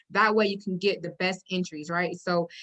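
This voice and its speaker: The tone is bright and sharp, and the intonation fairly even. Words come at a fairly quick pace. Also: woman. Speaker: forex trading educator. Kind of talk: tutorial. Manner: casual, filler-heavy.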